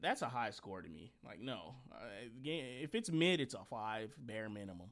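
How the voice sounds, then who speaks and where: A man speaks in an animated tone with lively intonation. His loudness swings widely. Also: medium pitch for a man, moderate pace. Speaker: podcast host. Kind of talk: casual chat.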